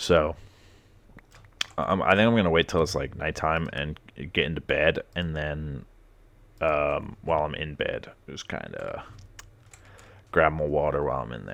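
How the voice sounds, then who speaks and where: Pausing long and often, a man speaks at a moderate pace with very deep, low pitch and big swings in loudness. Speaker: gamer YouTuber. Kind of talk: let's play commentary. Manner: casual, rambling with fillers.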